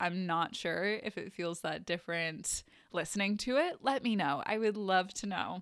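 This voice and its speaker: On a very clean recording with a silent background, a woman talks at a medium pitch with ordinary pitch variation. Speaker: podcast host and mindset coach. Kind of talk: casual solo monologue. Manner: slow with pauses; frequent laughter.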